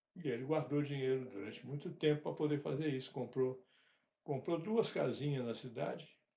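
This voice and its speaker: A man's somewhat breathy voice sits at a fairly high pitch with ordinary pitch variation. His pace is moderate. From rural Brazil. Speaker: father telling family stories. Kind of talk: casual interview. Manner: halting.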